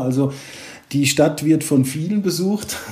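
Behind a man's speaking voice, noticeable background noise can be heard. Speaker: private banker. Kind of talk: casual interview.

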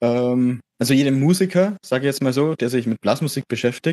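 A man's medium-pitched voice with a dark, mellow tone, ordinary pitch variation and a moderate pace, in a dry, close sound with no echo. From Middle Franconia, near Erlangen. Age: young. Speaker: music student, brass player. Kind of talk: casual interview. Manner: hesitant, many fillers.

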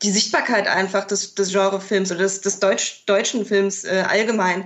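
Here is a woman with a plain, everyday voice. Her pitch is medium and her pace moderate. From Mainz, Germany. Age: 20s. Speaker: film scholar, festival organizer. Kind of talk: casual interview chat.

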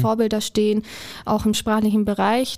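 A woman speaks at a fairly high pitch in a dark, mellow tone. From Allgäu, Bavaria. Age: 20s. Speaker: childcare worker in training. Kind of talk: casual interview.

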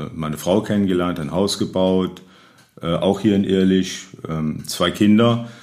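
A man with a very deep, low pitch talks at a very slow pace and with fairly even intonation. Audible room echo surrounds his voice. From Rhineland, Neuwied-Irlich. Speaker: local historian and retired city lawyer. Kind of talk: interview. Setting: historic building, table with microphones.

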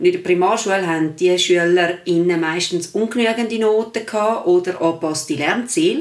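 At a moderate pace, a woman speaks at a medium pitch in a plain, everyday voice. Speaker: secondary school teacher. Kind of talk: casual chat.

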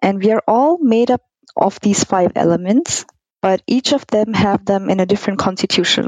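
In an ordinary speaking voice, a woman talks at a moderate pace with ordinary pitch variation, the sound dry and close with no echo. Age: 30s. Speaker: gynecologist. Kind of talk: interview.

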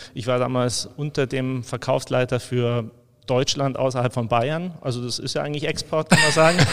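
A man with a plain, everyday voice and medium pitch speaks at a moderate pace with fairly even intonation. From Allgäu, Bavaria, Germany. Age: 50s. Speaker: brewery export manager. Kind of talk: casual interview.

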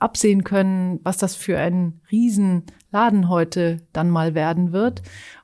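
Recorded very cleanly against a silent background, a woman speaks at a very slow pace with a medium pitch and fairly even intonation. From Switzerland (Zurich), German-speaking family. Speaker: charity executive. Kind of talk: podcast interview.

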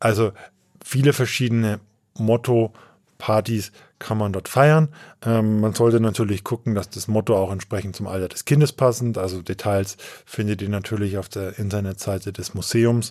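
On a very clean recording with a silent background, a man has a plain, everyday voice, a fairly low pitch and a moderate pace. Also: fairly even intonation. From Upper Franconia, Coburg. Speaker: podcast host, editor. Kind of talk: casual chat. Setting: studio in Bamberg.

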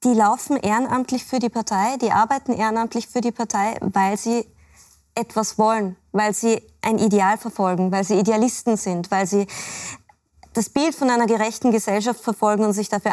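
Fairly quick and fairly high-pitched, a woman speaks in a plain, everyday voice with fairly even intonation. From Austria, Salzburg area. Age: 30s. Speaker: labour market expert and author. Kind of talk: TV panel discussion.

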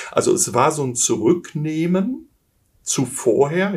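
Somewhat breathy speech from a man, lively in intonation, on a very clean recording with a silent background. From Germany, Essen (Ruhr area). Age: 50s. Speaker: business coach, former executive. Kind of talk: interview.

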